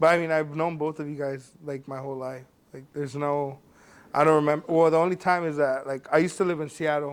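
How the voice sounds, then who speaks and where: This man talks at a very fast pace. His pitch is fairly high and his intonation monotone and flat. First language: Spanish. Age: 20s. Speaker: podcast co-host. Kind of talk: casual chat.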